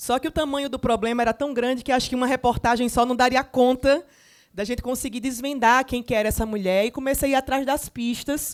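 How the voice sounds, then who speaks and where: Fairly quick, fairly even speech from a woman with a high pitch and an Alagoas accent. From Brazil, Alagoas (Maceió). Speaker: journalist and author. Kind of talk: panel talk at a literary festival.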